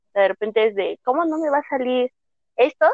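A woman's ordinary speaking voice with ordinary pitch variation at a moderate pace. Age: 20s. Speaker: podcast co-host, IT graduate. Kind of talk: casual chat. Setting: video call.

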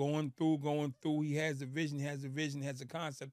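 A man speaks in an animated tone at a fairly high pitch. His pace is fairly quick. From Boston. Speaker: former prisoner turned speaker. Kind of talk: casual interview.

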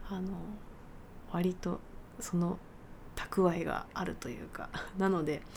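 A woman speaks in a relaxed tone at a very slow pace, with fairly even intonation and long, frequent pauses. Audible room echo surrounds her voice. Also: medium pitch for a woman. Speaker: pianist and podcast host. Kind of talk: casual solo talk. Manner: relaxed, leisurely.

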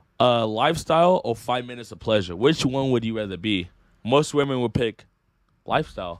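With an American accent, a man speaks in a normal speaking voice at medium pitch, fairly quickly and with lively intonation. The recording is very clean, with a silent background. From Northern California (Sacramento area). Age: 20s. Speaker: YouTuber. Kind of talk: casual chat.

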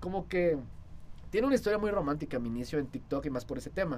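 A man with a fairly high pitch talks at a very fast pace over noticeable background noise. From Saltillo, Coahuila, northern Mexico. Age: 20s. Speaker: social media influencer and student. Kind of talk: casual interview chat.

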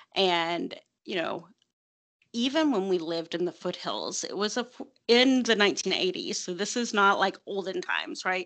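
Lively intonation marks this voice with an American accent. It moves at a moderate pace over a quiet background. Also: woman, medium pitch for a woman. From rural Appalachia. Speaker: podcast guest, solitary witch practitioner. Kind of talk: casual interview conversation.

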